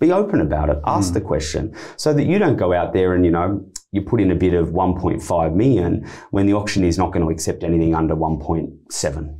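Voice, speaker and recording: A man speaks at a very fast pace with a very deep, low pitch and a dark, mellow tone. His pitch variation is ordinary, and the background is quiet. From Australia. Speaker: auctioneer and real estate director. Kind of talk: interview answer, explaining auction tips. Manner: conversational, confident. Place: studio. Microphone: studio mic.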